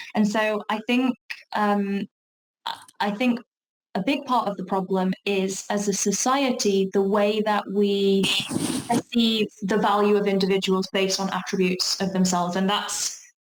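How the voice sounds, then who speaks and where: With a strong South Yorkshire accent, a woman talks at a medium pitch for a woman, a fairly slow pace and fairly even intonation. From South Yorkshire, England. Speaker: talk presenter on workplace inclusion. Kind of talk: online talk Q&A. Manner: hesitant, many fillers and restarts.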